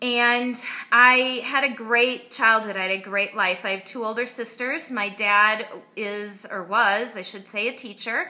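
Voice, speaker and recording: At a fairly slow pace, a woman with a slight Wisconsin accent speaks in a fairly high pitch with a bright, sharp tone and fairly even intonation. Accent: Midwestern (Wisconsin), slight. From US Midwest, Wisconsin. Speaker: online marketer. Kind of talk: personal story to camera.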